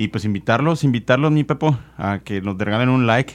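Very clean recording with a silent background, a man with a normal speaking voice, medium pitch, ordinary pitch variation, and a fairly quick pace. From Mexico, Nuevo León. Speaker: podcast host. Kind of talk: casual chat.

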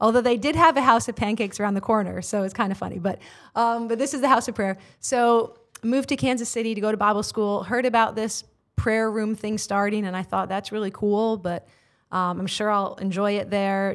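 The recording is very clean, with a silent background. A woman talks fairly quickly at medium pitch with ordinary pitch variation, in a plain, everyday voice. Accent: American. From United States. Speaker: prayer room leader and missionary. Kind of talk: casual interview conversation with prayer. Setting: studio.

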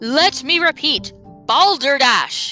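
Someone performs a put-on character voice over clear background music.

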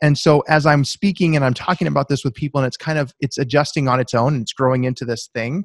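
A man with an American accent speaks very fast, with hardly any pauses and a fairly high pitch. His pitch varies ordinarily, and the sound is dry and close with no echo. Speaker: author and accountant. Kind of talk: interview.

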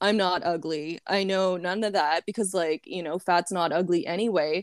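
This woman has a plain, everyday voice at a medium pitch. Her intonation stays fairly even. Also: very clean recording, silent background. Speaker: podcast co-host. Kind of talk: casual chat.

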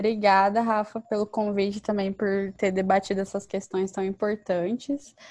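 Speaking at a moderate pace, a woman uses a medium pitch and a monotone, flat intonation. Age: 20s. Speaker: university student and youth organization leader. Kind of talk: interview.

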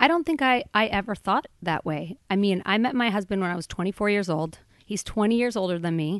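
Lively intonation marks this fairly quick delivery. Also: woman, medium pitch for a woman. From Boulder, Colorado, US. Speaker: film producer. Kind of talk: interview. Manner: casual, hesitant with fillers.

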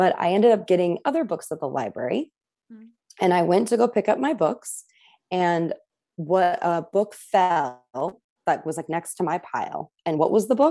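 A woman's dark, mellow voice with an American accent, on a very clean recording with a silent background. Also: medium pitch for a woman, lively intonation, moderate pace, big swings in loudness. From US, central coast of California. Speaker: applied theatre practitioner and tarot reader. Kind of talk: casual interview chat.

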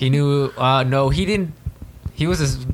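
A man at a moderate pace with lively intonation, against noticeable background noise. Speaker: podcast co-host. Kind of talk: casual, profane.

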